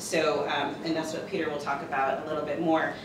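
A woman speaks at a fairly quick pace with a very deep, low pitch. There is audible room echo and noticeable background noise. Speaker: conference presenter. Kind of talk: presentation talk. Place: classroom. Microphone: camera far.

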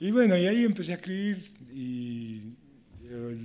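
The man's voice has a dark, mellow tone. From Argentina. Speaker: prison university student and writer. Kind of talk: panel talk at public event. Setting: stage with audience. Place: hall. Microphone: podium.

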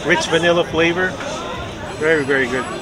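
A man's fairly high voice at a moderate pace with ordinary pitch variation, with clear background noise and clear crowd noise in the background

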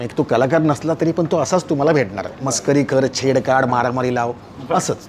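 Light background noise sits under a man's voice, which shows ordinary pitch variation. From Mumbai, Lalbaug; Mumbai. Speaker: film actor; film actor guest. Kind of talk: interview. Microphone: lapel.

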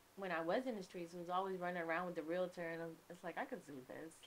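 A woman with a New York accent speaks at a medium pitch over light background noise. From New York, the Bronx (born in Kingston, Jamaica). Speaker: realtor and music manager; podcast guest. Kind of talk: casual interview. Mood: relaxed, reflective. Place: studio. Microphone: studio mic.

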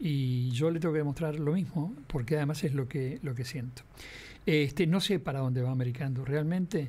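A man speaks at a moderate pace with a fairly high pitch and ordinary pitch variation. His tone is dark and mellow, and somewhat breathy. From Uruguay. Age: 70s. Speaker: veteran radio and TV broadcaster; interview guest. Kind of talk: interview. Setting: radio studio. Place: studio. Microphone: studio mic.

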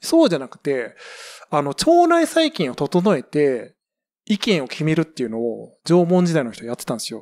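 Recorded very cleanly against a silent background, a man talks at a moderate pace. His loudness swings widely. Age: 40s. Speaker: podcast co-host. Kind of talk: casual chat.

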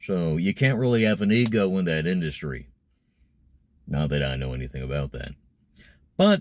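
A man with a very deep, low voice talks at a moderate pace, the sound dry with no echo. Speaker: voice actor vlogger. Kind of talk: casual vlog chat. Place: car. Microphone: phone near.

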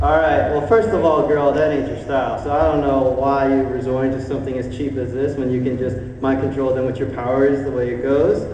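Against light background noise and audible room echo, a man with a medium-pitched voice talks at a fairly quick pace with hardly any pauses and ordinary pitch variation. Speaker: audience participant; fan panel host. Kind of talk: casual banter. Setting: stage with audience. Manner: joking. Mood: teasing, comedic. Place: hall.

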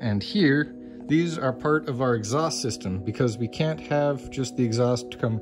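Fairly slow speech with ordinary pitch variation over clear background music. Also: man. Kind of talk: tour guide explanation. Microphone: phone near.

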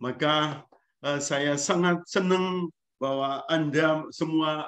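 The man has a fairly high-pitched voice. He speaks at a very slow pace. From Eastern Indonesia, Lembata (Flores region); Eastern Indonesia. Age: 60s. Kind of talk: lecture. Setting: video call. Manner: animated. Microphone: video call.

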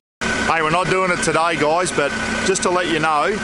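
Over loud background noise, a man speaks at a fairly quick pace in a dry sound with no echo. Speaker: travel vlogger. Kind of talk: casual vlog chat. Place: open country. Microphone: camera far.

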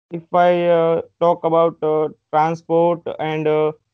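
A man speaks in a monotone, flat delivery, with a dry sound with no echo and a quiet background. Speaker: candidate. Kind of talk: interview answer. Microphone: video call.

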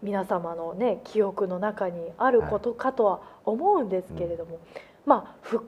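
A woman speaks at a moderate pace. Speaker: program host. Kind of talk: talk show hosting. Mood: calm, serious topic. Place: studio. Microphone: lapel.

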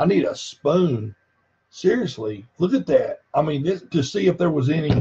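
A man with a Southern US accent talks at a moderate pace, his fairly high voice making very wide pitch swings. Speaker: health product reviewer. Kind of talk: live stream demonstration.

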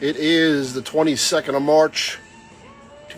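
Faint music plays behind a man speaking in a flat, monotone way. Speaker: auctioneer / antiques dealer hosting a tailgate auction. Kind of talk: casual talk to camera, promotional video announcement. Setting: outdoors at an auction venue. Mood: upbeat, inviting. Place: market. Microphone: phone near.

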